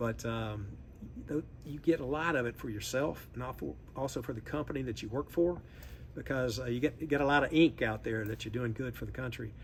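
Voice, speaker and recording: A man with a Southern US accent talks at a fairly quick pace and medium pitch, his voice showing vocal fry and ordinary pitch variation. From US South, Memphis, Tennessee. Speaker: industry association executive. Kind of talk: interview. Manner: halting.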